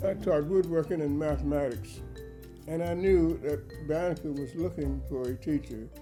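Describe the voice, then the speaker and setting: With music playing behind him, a man speaks at a moderate pace. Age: 80s+. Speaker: duck carver, retired teacher. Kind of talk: oral history interview answer.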